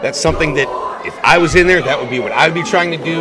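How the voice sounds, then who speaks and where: With noticeable background noise around him, a man speaks. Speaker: wrestling commentator; professional wrestler. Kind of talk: live wrestling play-by-play commentary.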